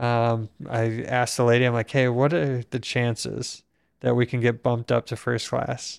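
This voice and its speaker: An unremarkable speaking voice moves at a moderate pace, with a dry, close sound and no echo. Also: man. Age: 30s. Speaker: podcast host, quadriplegic injury survivor. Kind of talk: casual conversation. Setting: home podcast studio.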